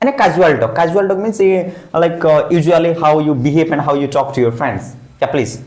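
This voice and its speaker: A man with an Indian accent, high-pitched and fairly quick, with lively intonation, audible room echo and noticeable background noise. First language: Hindi. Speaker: English teacher. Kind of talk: classroom speaking practice.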